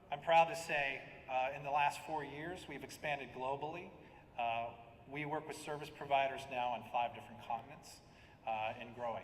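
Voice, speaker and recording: The voice carries an American accent at a moderate pace with fairly even intonation. Audible room echo surrounds it. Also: man, fairly high pitch for a man. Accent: American, noticeable to local audience. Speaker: software product director. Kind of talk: conference presentation. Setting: conference stage at podium.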